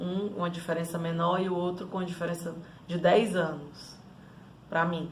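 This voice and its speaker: A woman with a Ceará accent speaks slowly, at a fairly low pitch. Her voice carries audible room echo over noticeable background noise. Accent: Cearense (northeastern Brazilian). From Northeast Brazil, Fortaleza (Ceará). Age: 30s. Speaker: life coach. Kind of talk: personal life story monologue.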